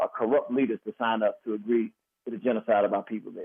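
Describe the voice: Talking at a fast pace, a man with a slightly husky edge keeps his intonation fairly even.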